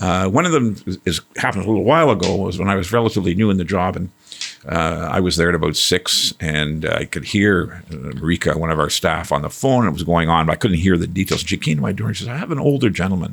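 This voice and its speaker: Very fast and very deep, a man with a Canadian accent speaks with lively intonation. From Quebec. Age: 60s. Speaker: executive director of a helpline service. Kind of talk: interview. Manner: animated; halting.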